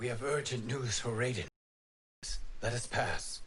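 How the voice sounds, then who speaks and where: A man speaks at a moderate pace in a raspy, put-on character voice with a medium pitch. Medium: video game. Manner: formal, measured.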